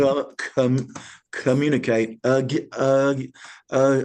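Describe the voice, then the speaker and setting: With an Alabama accent, a man speaks in a dark, mellow tone. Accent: Southern US (Alabama). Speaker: military veteran, comedian and leadership speaker. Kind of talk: interview. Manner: repetitive, halting with many repeated words.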